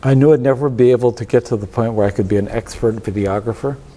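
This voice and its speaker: With a dark, mellow tone, a man speaks at a medium pitch with ordinary pitch variation. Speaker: filmmaker. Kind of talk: interview. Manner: slurs words when tired; halting, repeats words.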